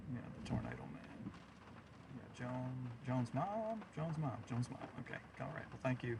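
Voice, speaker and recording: With an American accent, a man speaks at medium pitch with ordinary pitch variation, leaving long, frequent pauses against noticeable background noise. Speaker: storm chaser livestreamer. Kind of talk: live stream chat and commentary. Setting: in a truck. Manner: fast, stumbling at times.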